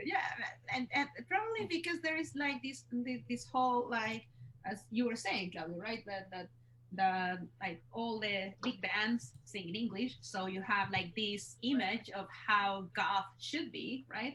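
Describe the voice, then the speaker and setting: A woman speaks at a medium pitch in a Chilean accent. Her pitch swings very widely at a fairly slow pace. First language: Spanish. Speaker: musician. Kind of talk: casual chat. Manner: halting.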